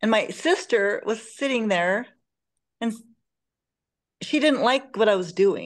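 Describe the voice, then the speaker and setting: A woman with a plain, everyday voice talks at a fairly slow pace with fairly high pitch. Her intonation is lively, and the background is quiet. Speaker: group session participant. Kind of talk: personal sharing. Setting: video call. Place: home room. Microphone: video call.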